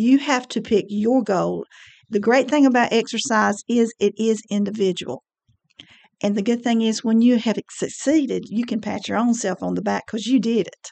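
A woman with an unremarkable speaking voice talks at a fairly high pitch and moderate pace, her intonation fairly even. The sound is dry and close with no echo, over a quiet background. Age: 60s. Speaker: senior center fitness coordinator and personal trainer. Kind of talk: radio interview. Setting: studio.

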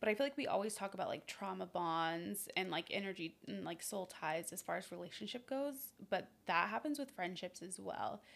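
A woman talks with lively intonation and some vocal fry. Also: medium pitch for a woman, moderate pace. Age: 20s. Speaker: podcast co-host. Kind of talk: casual chat. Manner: animated.

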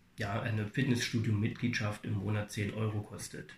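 A man's somewhat breathy voice in a monotone, flat intonation. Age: 40s. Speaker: fitness studio manager. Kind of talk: interview. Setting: fitness studio. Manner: halting, many fillers.

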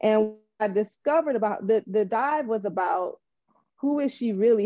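In an American accent, a woman with a fairly high pitch and a dark, mellow tone speaks at a fairly slow pace with ordinary pitch variation. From US Midwest, Detroit. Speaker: actress. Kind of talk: roundtable discussion.

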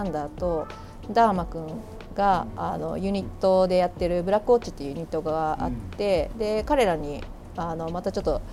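A woman talks at a fairly quick pace with ordinary pitch variation. Music plays in the background. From Kanagawa, Japan (Yamato). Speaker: record shop manager and DJ. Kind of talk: casual interview chat. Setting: outdoors on a balcony.

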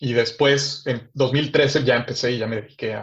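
The speaker is a man with a somewhat breathy voice. He goes at a fairly slow pace. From Mexico City. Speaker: tech startup founder. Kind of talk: interview.

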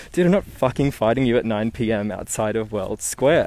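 His intonation sounds lively. The man talks fairly fast. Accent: Australian. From Newcastle, Australia. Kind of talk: casual storytelling. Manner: animated.

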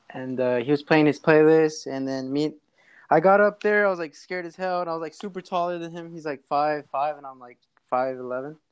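Over a quiet background, a man with an American accent speaks at a fairly quick pace with a normal speaking voice. His pitch is fairly high, with ordinary pitch variation. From Los Angeles, California. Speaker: rapper and music producer. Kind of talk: casual chat.

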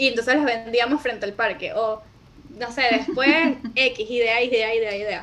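Amid noticeable background noise, a woman speaks at a moderate pace in a fairly high pitch with fairly even intonation. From Venezuela. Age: 20s. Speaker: video editor and entrepreneur. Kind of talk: interview conversation.

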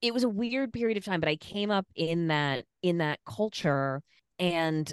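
In an American accent, a woman speaks at a fairly slow pace with very wide pitch swings. The sound is dry and close with no echo, over a quiet background. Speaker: sex worker rights activist and comedian. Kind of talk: casual interview chat.

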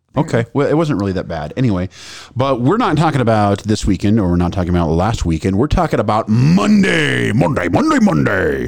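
A man's fairly low voice at a fairly quick pace, with very wide pitch swings amid noticeable background noise. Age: 40s. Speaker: podcast host, community theater actor. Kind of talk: casual chat.

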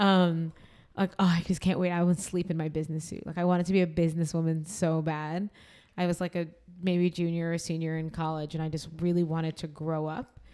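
At a fairly quick pace, a woman talks in a fairly low pitch with a dark, mellow tone and monotone, flat intonation. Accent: American. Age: 30s. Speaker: podcast host. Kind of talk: casual chat.

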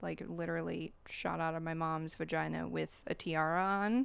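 In a very clean recording with a silent background, a woman speaks at a fairly slow pace with an American accent. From US Midwest, small-town Ohio. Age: 30s. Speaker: podcast guest sharing mental health experience. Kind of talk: casual chat.

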